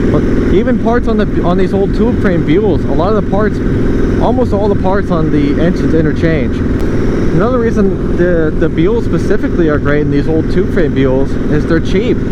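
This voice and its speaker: A man with an American accent talks at a moderate pace in a high pitch, with lively intonation and very even loudness. The room echoes audibly and background noise is noticeable. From United States. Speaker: motorcycle builder and vlogger. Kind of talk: casual vlog while riding. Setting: outdoors on a motorcycle. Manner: animated.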